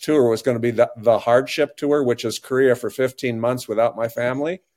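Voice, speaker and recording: A man with an Upper Midwest accent speaks at a fairly quick pace. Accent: Upper Midwest American. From northeast South Dakota. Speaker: dentist turned lay pastor. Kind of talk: casual interview. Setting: remote call.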